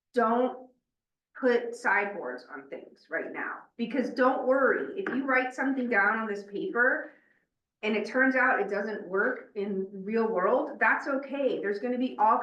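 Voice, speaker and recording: Audible room echo surrounds a woman's voice. She speaks at a moderate pace with lively intonation. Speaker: meeting facilitator. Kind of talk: meeting facilitation. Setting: in-person meeting room with Zoom participants. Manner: loud; energetic.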